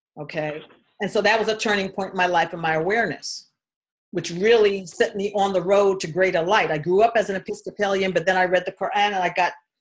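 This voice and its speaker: A woman with an American accent has an unremarkable speaking voice at a medium pitch. She moves at a fairly quick pace with fairly even intonation. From New York City (Queens, Harlem). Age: 60s. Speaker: spiritual healer. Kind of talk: personal testimony. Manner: casual, conversational.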